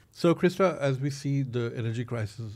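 The recording is very clean, with a silent background. A man with a Pakistani accent talks at a fairly quick pace. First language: Urdu. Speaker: podcast host. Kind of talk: interview.

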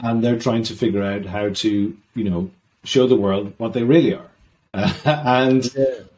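A man talks at a moderate pace with a southern Irish accent. His voice is medium in pitch, with a dark, mellow tone. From southern Ireland. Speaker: maritime sustainability consultant. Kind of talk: interview.

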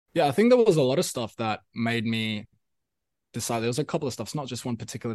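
A man at medium pitch against a quiet background. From South Africa, Pretoria. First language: Afrikaans. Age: 20s. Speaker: musician. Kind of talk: casual chat. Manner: halting, many fillers and repetitions.

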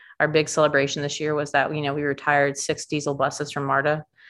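Over a silent background in a very clean recording, a woman speaks very fast with a very deep, low pitch. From Atlanta area, Georgia (Stone Mountain). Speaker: city council candidate. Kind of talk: interview.

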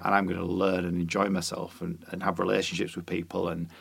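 A man speaks at a moderate pace with a Yorkshire accent, his very deep, low voice marked by vocal fry. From Yorkshire, York. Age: 40s. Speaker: musician and author. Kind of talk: casual chat.

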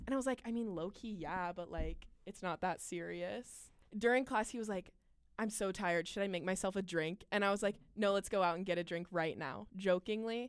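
Captured in a very clean recording with a silent background, a woman with an unremarkable speaking voice talks at a fairly quick pace and medium pitch, using ordinary pitch variation. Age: 20s. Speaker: podcast co-host. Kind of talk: casual chat.

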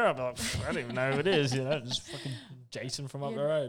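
A man with a New Zealand accent speaks very fast at a medium pitch, his intonation fairly even. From New Zealand, living in Australia. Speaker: podcast host. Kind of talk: informal. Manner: casual, swears often.

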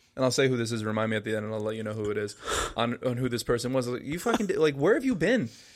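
A man with an American accent at a very fast pace, with noticeable background noise. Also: medium pitch for a man, ordinary pitch variation. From New Jersey (Paramus). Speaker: podcast co-host. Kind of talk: casual chat.

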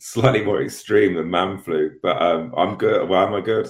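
Somewhat breathy, a man talks at a moderate pace with a fairly low pitch and ordinary pitch variation. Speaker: show correspondent. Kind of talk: casual chat. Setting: video call.

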